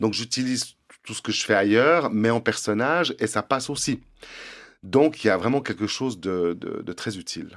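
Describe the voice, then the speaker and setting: The recording is very clean, with a silent background. A man at medium pitch speaks at a moderate pace with lively intonation. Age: 50s. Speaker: drag performer and prevention worker. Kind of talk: interview. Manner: halting.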